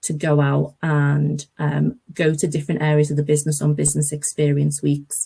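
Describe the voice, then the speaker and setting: A woman speaks at a moderate pace with hardly any pauses, her very deep, low pitch somewhat breathy and her tone dark and mellow. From northern England, near Liverpool. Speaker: graduate recruitment manager. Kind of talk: webinar presentation. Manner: enthusiastic.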